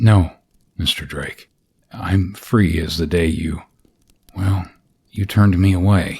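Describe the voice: In a quiet, raspy put-on character voice, a man speaks with very deep, low pitch at a fairly slow pace, leaving long, frequent pauses. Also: fairly even intonation.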